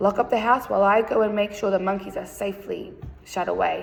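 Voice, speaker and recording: A woman's raspy put-on character voice at a medium pitch and a fairly quick pace. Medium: read story. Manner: harsh, shouting.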